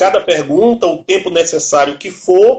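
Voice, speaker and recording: Speaking at a fairly slow pace, a man talks in a high pitch. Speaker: martial arts instructor and live show host. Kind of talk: interview. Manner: casual.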